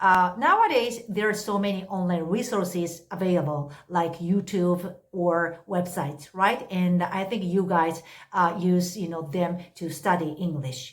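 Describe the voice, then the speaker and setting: In a Japanese accent, a woman talks at a fairly slow pace. Her pitch is medium. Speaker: English tutor. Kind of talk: unscripted casual talk to camera. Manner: hesitant, many fillers.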